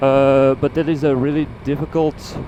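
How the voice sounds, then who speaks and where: Speaking with a Dutch accent at a fairly slow pace, a man uses a fairly high pitch and fairly even intonation against noticeable background noise. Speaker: motovlogger. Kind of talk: casual vlog monologue while riding. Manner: halting, many fillers.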